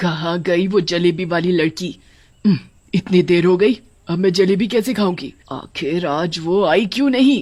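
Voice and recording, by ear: A cartoonish character voice at middle pitch, moving at a moderate pace.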